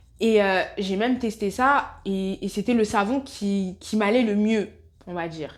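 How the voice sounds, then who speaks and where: Talking at a fairly slow pace, a woman shows ordinary pitch variation. She has an ordinary speaking voice. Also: medium pitch for a woman, very clean recording, silent background. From Soninké, Mauritanian family. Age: 20s. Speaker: natural wellness vlogger. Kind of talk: casual talk to camera.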